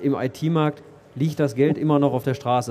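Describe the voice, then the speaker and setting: Fairly high in pitch, a man rattles along at a very fast pace. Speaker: IT company executive. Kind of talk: interview. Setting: stage at a trade fair. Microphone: old poor microphone.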